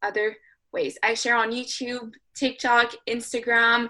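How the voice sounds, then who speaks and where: At a moderate pace, a woman speaks with a high pitch and a bright, sharp tone. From Canada. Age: 20s. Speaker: podcast co-host, financial educator. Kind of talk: casual podcast chat. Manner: animated.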